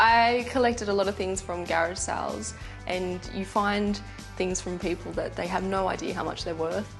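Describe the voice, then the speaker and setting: A woman with an Australian accent, music playing in the background. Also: moderate pace. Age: 20s. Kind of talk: TV documentary interview answer.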